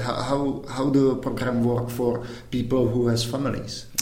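A man with a Czech accent speaks at a medium pitch and a fairly slow pace. Noticeable background noise runs underneath. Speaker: podcast host. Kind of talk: interview.

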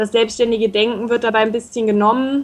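Her fairly high voice stays monotone and flat as this woman speaks. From northern Hesse, Germany (Baunatal). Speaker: intern abroad. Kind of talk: radio interview. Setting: Skype call.

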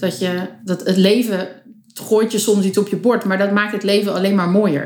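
This woman has a normal speaking voice at a medium pitch. Her intonation is fairly even. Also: moderate pace. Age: 20s. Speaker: photographer. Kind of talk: casual chat.

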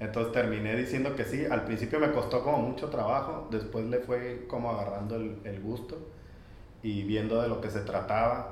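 A man's medium-pitched voice at a moderate pace with fairly even intonation, plus noticeable background noise and audible room echo. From Mazatlán, Sinaloa, Mexico. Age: 40s. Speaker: set designer. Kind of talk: casual chat.

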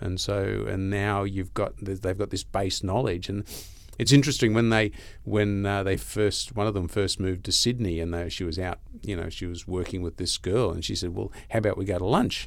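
This man talks at a fairly quick pace with an Australian accent. His pitch is fairly low and his intonation fairly even. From Australia, Gold Coast. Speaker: financial newsletter writer. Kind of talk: casual chat. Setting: studio.

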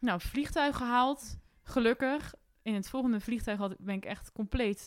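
A woman talks at a fairly slow pace with ordinary pitch variation in an ordinary speaking voice. The recording is very clean, with a silent background. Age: 20s. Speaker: young adventurer. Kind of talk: casual interview. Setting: indoor recording in Arnhem.

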